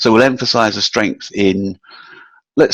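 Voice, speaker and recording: A man with a British accent, fairly low-pitched, at a moderate pace with ordinary pitch variation, in a dry, close sound with no echo against a quiet background. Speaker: proposal and capture management consultant. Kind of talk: webinar presentation. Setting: online webinar. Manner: some hesitations and fillers.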